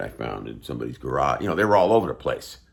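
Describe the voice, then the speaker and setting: Showing vocal fry, a man's voice swings very widely in pitch. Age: 60s. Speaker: guitarist and instrument seller. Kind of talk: casual talk to camera. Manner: relaxed, with many fillers.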